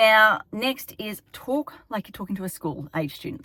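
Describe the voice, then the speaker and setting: A woman speaks with an Australian accent. The sound is dry and close, with no echo. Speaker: town planner. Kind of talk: informational vlog. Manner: fast.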